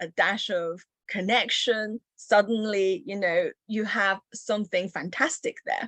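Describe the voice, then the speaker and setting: A woman talks at a fairly slow pace in a medium pitch, with ordinary pitch variation. Her tone is bright and sharp, and the sound is dry and close with no echo. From China (Chengdu) until 8, then Yorkshire, England. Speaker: entrepreneur and researcher. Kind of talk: interview.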